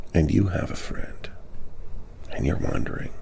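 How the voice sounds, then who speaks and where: A man whispers at a fairly slow pace in a gentle, calm tone. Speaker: mental health advocate / ASMR-style host. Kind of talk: gentle supportive talk to camera on mental health. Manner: gentle, calm, slow.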